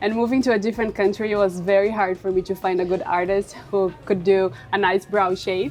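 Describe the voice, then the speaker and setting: With music in the background, a woman talks with fairly even intonation. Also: medium pitch for a woman, fairly quick pace, hardly any pauses. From Brazil. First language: Portuguese. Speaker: permanent makeup artist. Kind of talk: podcast interview.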